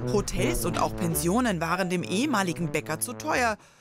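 Music sounds in the background. The talking proceeds at a moderate pace. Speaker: news reporter. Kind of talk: TV news narration.

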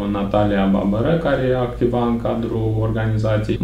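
A man with a fairly low pitch speaks at a fairly slow pace, with audible room echo and light background noise. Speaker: interview guest. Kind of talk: interview answer. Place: office.

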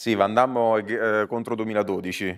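A man's fairly low voice over a quiet background, with fairly even intonation. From Italy. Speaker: comedian. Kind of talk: live podcast chat. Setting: stage with audience. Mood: relaxed, anecdotal, joking. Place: stage. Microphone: lapel.

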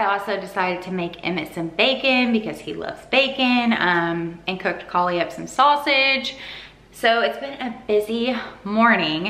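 A woman is speaking. There is audible room echo around her voice. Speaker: vlogger. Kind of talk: casual vlog chat. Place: kitchen.

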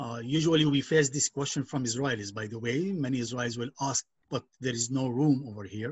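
A man talks at a fairly quick pace with ordinary pitch variation. His voice is somewhat breathy. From Palestinian village in northern Israel near Nazareth; northern Israel. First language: Arabic. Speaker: nonprofit educator and activist; nonprofit educator. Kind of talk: online presentation. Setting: video call. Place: home room. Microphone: video call.

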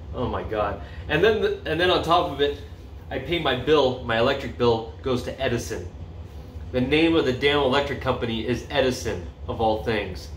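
Through audible room echo and light background noise, a man talks at a moderate pace with very wide pitch swings. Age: 40s. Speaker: vlogger; community video creator. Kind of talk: casual vlog monologue; casual vlog chat. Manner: halting, many fillers. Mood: upbeat, enthusiastic. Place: home room. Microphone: phone near.

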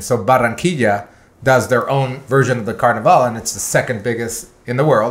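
Somewhat breathy and medium in pitch, a man rattles along at a very fast pace. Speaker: podcast host. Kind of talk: casual chat.

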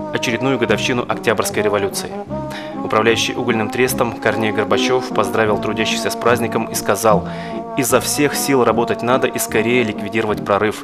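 Clear music plays behind a man who talks fairly quickly. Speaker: interviewer / host. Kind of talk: interview questions and historical narration. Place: studio.

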